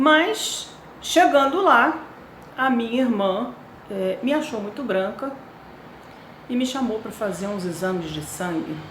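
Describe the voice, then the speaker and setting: Amid noticeable background noise and audible room echo, a woman with a fairly high pitch talks very slowly, with very wide pitch swings and long, frequent pauses. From Brazil, Rio de Janeiro. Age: 60s. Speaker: cancer patient sharing her story. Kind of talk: personal testimony. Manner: hesitant, with fillers.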